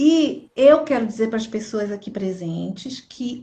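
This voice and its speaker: Ordinary pitch variation comes through amid audible room echo. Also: woman. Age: 60s. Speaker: pastor. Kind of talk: religious live stream talk. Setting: Instagram live.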